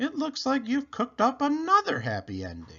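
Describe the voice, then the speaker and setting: This is a put-on character voice with a high pitch. It moves at a moderate pace. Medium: read story. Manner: brisk, flustered.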